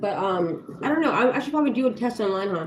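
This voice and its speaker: Against noticeable background noise, a woman with an American accent talks in an animated tone at a fairly quick pace. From Los Angeles, California. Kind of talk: casual live stream chat. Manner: fast.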